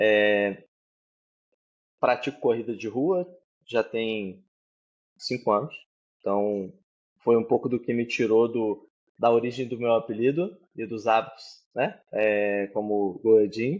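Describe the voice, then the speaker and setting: A man at a medium pitch talks at a very slow pace with ordinary pitch variation and long, frequent pauses. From Brazil, southern Minas Gerais. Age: 30s. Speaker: tech manager. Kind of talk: interview. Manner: hesitant, many fillers.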